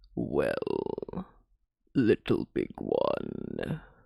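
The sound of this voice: Using an extremely high pitch, a man performs a put-on character voice.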